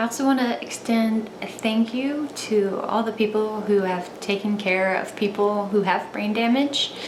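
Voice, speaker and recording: Despite a fairly slow pace, a woman speaks with hardly any pauses and fairly even intonation, with audible room echo and noticeable background noise. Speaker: vlogger. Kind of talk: personal vlog testimony. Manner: occasional stutter, halting; slower speech.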